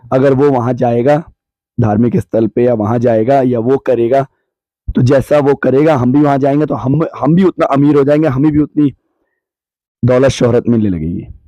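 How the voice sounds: Dark and mellow in tone, a man speaks at a medium pitch and moderate pace in a dry, close sound with no echo. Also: ordinary pitch variation.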